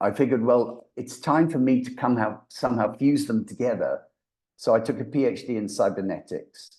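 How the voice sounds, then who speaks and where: Against a quiet background, a man speaks with a mild English accent. His pitch variation is ordinary. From England. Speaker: voice actor and brain reprogramming coach. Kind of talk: podcast interview.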